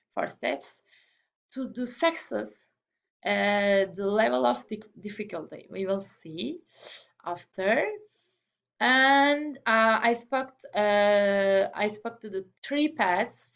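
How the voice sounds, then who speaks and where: A woman with a non-native accent speaks at a very slow pace and a medium pitch, her voice swinging very widely in pitch and broken by long, frequent pauses. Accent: non-native English accent, self-noted. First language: not English. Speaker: student presenter. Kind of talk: class presentation. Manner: halting, many repetitions and fillers.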